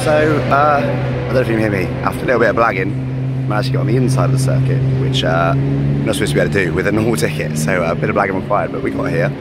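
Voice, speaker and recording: Over music in the background, a man speaks very fast in a dry sound with no echo. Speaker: fan vlogger. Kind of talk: casual vlog chat. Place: street. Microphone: phone near.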